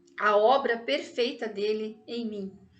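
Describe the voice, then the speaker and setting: A woman's voice at a very slow pace with audible room echo. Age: 60s. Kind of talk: personal testimony.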